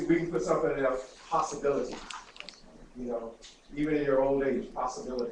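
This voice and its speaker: Over noticeable background noise and audible room echo, a man with a fairly high pitch speaks very fast yet with long, frequent pauses and ordinary pitch variation. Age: 60s. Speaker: talk show host. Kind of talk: interview. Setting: studio.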